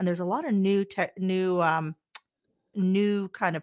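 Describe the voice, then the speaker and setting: Her voice sits fairly low for a woman, with fairly even intonation. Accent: Midwestern American. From US Midwest, Kansas. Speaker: podcast host, real estate agent. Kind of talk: interview.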